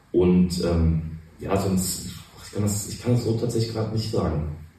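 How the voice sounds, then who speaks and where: A man talks at a moderate pace with fairly even intonation and long, frequent pauses. Audible room echo surrounds his voice. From Cologne, right bank of the Rhine. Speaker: restaurateur. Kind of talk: casual interview. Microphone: poor recording quality.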